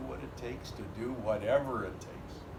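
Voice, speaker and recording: At a moderate pace, the speech comes through with noticeable background noise underneath. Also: man. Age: 80s+. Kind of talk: family storytelling.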